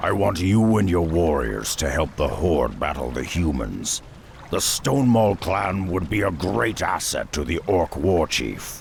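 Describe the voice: Big pitch swings and vocal fry mark this put-on character voice, delivered at a fairly slow pace. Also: man, low pitch for a man.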